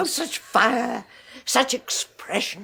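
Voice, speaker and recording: A woman's put-on character voice, pitched high. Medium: old radio play. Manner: genteel, soft, gushing.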